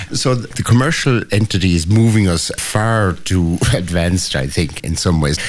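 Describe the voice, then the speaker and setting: A man speaks at a moderate pace in a very deep, low voice, with hardly any pauses and noticeable background noise. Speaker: priest. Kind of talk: casual chat. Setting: radio studio.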